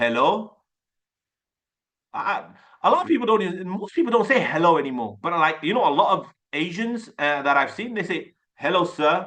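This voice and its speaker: A man's high voice with an animated tone and lively intonation. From Birmingham, England (British Pakistani). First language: Urdu. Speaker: sales coach. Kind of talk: online course lecture. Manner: animated, repetitive casual speech.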